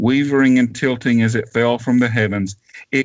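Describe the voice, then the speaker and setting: A man with a Southern US accent, medium in pitch, with fairly even intonation. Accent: Southern drawl. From US South (Georgia). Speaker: author. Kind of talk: reading aloud; interview. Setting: radio show.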